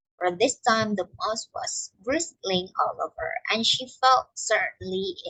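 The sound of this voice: Quiet background behind an unforced reading voice.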